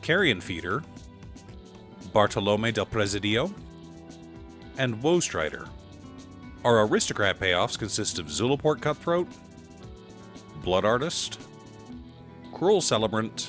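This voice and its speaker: A man's voice with very wide pitch swings, a fairly slow pace and long, frequent pauses, with music in the background. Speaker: card game content creator. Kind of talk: deck-building commentary to camera.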